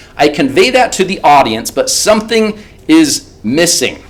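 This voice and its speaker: The voice makes very wide pitch swings against noticeable background noise. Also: man. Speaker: presentation skills trainer. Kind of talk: interactive workshop lecture.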